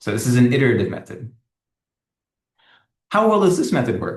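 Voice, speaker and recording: A man's pitch swings very widely. His voice is somewhat breathy. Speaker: academic researcher. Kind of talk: lecture. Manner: fast.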